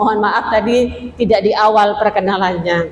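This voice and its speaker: A woman with a Madurese accent speaks very slowly with ordinary pitch variation, and the room echo is audible. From Madura. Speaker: female Islamic preacher. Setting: mosque. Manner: interactive, asks audience questions.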